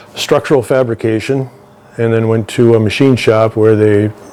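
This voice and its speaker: A man talks at a moderate pace in a medium pitch. Noticeable background noise runs underneath. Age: 60s. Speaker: welder. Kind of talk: interview. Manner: halting.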